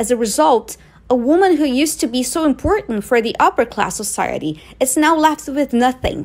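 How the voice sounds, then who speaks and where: With a non-native accent and a high pitch, a woman speaks at a moderate pace, her pitch swinging very widely. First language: not English. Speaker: movie commentator. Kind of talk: video essay commentary.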